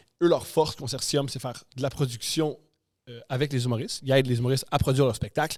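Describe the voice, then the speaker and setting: A man with a strong Quebec accent talks at a very fast pace and medium pitch. His tone is animated, with big swings in loudness. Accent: strong Québécois. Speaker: comedian and podcaster. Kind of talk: casual interview chat. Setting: podcast studio.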